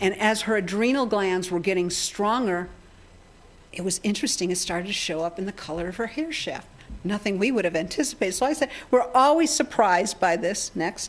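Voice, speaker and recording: This woman has a normal speaking voice with an American accent and medium pitch. Her intonation is lively and her pace fairly quick. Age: 60s. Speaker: healing technology researcher and speaker. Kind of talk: seminar talk. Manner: conversational, with many fillers and repetitions.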